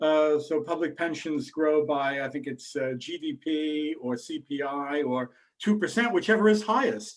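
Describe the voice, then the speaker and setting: Speaking in an American accent, a man uses a plain, everyday voice with a fairly high pitch and lively intonation. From United States. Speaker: investment bank chief executive, webinar host. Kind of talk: webinar Q&A.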